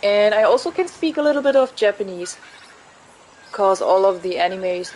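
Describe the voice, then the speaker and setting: Noticeable background noise accompanies a woman speaking with a German accent. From Germany. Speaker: gaming streamer. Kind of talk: casual chat. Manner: informal, hesitant speech.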